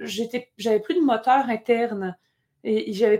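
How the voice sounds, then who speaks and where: A woman's fairly high voice with ordinary pitch variation, at a moderate pace. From Quebec. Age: young. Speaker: opera singer, contralto and composer. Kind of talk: casual interview. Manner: halting.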